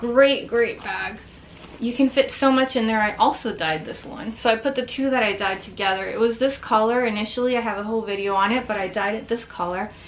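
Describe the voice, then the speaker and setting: Background noise is noticeable as a woman speaks. Her pitch is fairly high with ordinary variation, and her pace is fairly quick. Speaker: fashion vlogger. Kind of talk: casual show-and-tell video. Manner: fast; animated.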